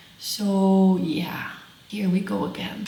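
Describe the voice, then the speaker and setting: A woman speaks in a Russian accent, with audible room echo and noticeable background noise. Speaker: crafting vlogger. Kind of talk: casual vlog talk to camera. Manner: halting.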